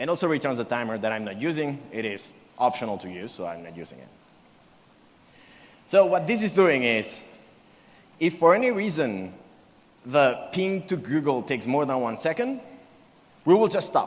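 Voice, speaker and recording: A man's fairly high voice with vocal fry at a moderate pace, very wide pitch swings, big swings in loudness, long, frequent pauses, and audible room echo. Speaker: developer advocate, conference speaker. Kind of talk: conference keynote with live coding. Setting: stage at a conference.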